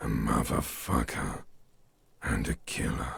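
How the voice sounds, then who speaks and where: A man does a put-on character voice, raspy and very deep in pitch. He delivers it at a fairly slow pace. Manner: creepy, unsettling.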